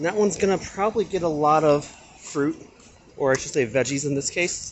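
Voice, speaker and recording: Soft-spoken and fairly quick, the speaker shows ordinary pitch variation over noticeable background noise. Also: man, fairly high pitch for a man. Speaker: cooking and gardening vlogger. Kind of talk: casual cooking tutorial. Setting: kitchen at home.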